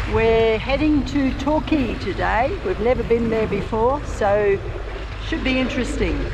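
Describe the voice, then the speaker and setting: Speech at a fairly slow pace comes through over noticeable background noise. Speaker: sailing vlogger narrator. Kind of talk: travel vlog narration.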